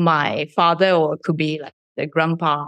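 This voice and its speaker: A woman with a Japanese accent speaks at a fairly slow pace. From Shizuoka, Japan. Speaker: startup CEO. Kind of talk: interview.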